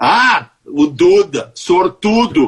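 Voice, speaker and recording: A man is speaking. His pitch swings very widely. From Porto Alegre, southern Brazil. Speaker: radio executive and show leader. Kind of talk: interview.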